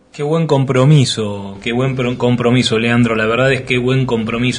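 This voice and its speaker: There is audible room echo and noticeable background noise around this voice. A man speaks at a moderate pace with fairly even intonation. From Argentina, Greater Buenos Aires. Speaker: radio host. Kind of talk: radio interview. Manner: halting, many repetitions.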